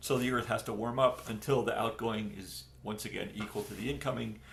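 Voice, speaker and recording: A man speaks in a somewhat breathy voice. Audible room echo surrounds the recording. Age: 60s. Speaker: climate scientist, professor. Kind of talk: interview. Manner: hesitant, many fillers and repeated words.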